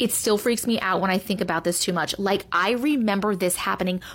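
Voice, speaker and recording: A woman's ordinary speaking voice, medium in pitch with ordinary pitch variation, runs at a fairly quick pace. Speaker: storyteller reading viewer-submitted stories. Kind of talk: reading aloud. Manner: hushed, suspenseful storyteller pacing; conversational, casual commentary between stories.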